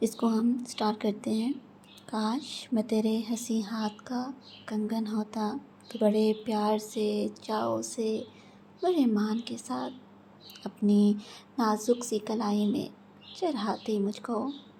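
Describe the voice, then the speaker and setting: A woman speaks at a fairly high pitch in a dark, mellow tone that is somewhat breathy. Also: fairly even intonation. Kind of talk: poetry reading. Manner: emotional, romantic.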